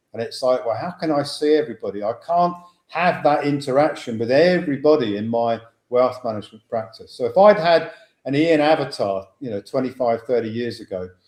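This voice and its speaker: A man's fairly high voice carries lively intonation as he moves along at a fairly quick pace. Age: 60s. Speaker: financial educator, former wealth manager. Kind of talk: webinar talk. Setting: online webinar. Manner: halting, many fillers.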